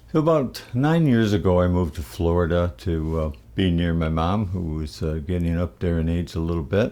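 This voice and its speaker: In an upstate New York accent, a man speaks at a fairly slow pace with a very deep, low pitch and a dark, mellow, relaxed tone. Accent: upstate New York American. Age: 70s. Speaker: musician. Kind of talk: casual monologue. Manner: relaxed with frequent fillers.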